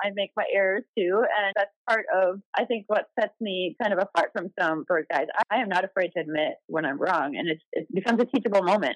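A woman with an American accent talks at a fairly quick pace in an ordinary speaking voice, with a medium pitch, ordinary pitch variation, hardly any pauses, and a dry, close sound with no echo. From Wisconsin, US Midwest. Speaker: bird tour guide. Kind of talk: interview.

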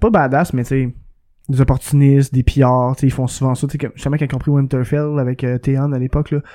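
A man with a Quebec accent talks at a moderate pace. His tone is dark and mellow, and his intonation stays fairly even. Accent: Québécois French. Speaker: podcast co-host. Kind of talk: casual chat. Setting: studio.

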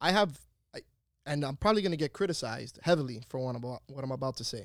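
A man rattles off his words at a very fast pace. His voice is fairly high, with lively intonation. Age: 30s. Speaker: podcast co-host. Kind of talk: casual chat. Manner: animated.

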